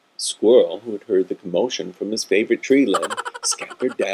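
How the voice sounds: Natural reading voice, nothing more.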